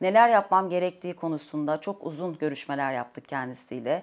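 Her intonation is lively and her pace moderate. The woman is heard against a quiet background. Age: 40s. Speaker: dietitian client; interviewee. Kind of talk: testimony. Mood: calm, positive, reflective. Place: home room.

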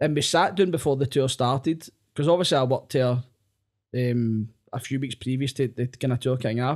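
Against a quiet background, a man speaks at a fairly quick pace with a Glaswegian accent. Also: ordinary pitch variation. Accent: Glaswegian Scottish. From Scotland, Glasgow area. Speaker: comedian. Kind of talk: casual chat. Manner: animated. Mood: jokey, animated storytelling. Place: studio. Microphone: studio mic.

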